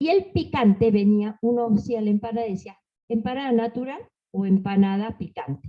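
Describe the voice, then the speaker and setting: A woman's voice sits at a fairly high pitch and sounds somewhat breathy. Her pitch variation is ordinary. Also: moderate pace. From Argentina, Salta. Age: 70s. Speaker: panelist on folk tradition. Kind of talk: panel talk. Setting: library panel with audience.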